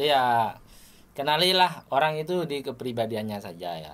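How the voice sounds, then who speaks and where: Swinging very widely in pitch, a man speaks at a moderate pace. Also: big swings in loudness. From Madura, Indonesia. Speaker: podcast host, sitcom actor. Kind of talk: casual interview chat.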